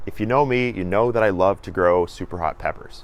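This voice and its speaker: A man talks at a moderate pace in a normal speaking voice, fairly low in pitch with ordinary pitch variation. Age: 20s. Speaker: gardening youtuber. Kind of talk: garden tour tutorial. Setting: outdoors in garden.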